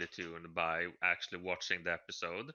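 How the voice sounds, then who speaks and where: Very deep and low in pitch yet bright and sharp in tone, a man speaks with a non-native accent. His pace is moderate and his intonation monotone and flat. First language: not English. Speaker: podcast co-host. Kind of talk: casual chat. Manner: halting.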